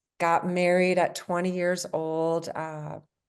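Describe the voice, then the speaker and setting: A woman speaks very slowly in a fairly low, monotone voice with flat intonation over a quiet background. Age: 60s. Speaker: nurse and artist, book co-author. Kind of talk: interview.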